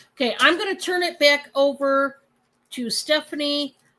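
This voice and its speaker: A woman with a Michigan accent uses a raised, projected voice. Her tone is bright and sharp. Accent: Michigan accent, flat lazy A. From Michigan, US. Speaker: livestream host and reseller. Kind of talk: live selling stream chat. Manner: casual, chatty.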